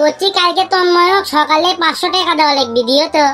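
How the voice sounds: A woman's cartoonish character voice at an extremely high pitch, with very even loudness and a moderate pace, over clear background noise.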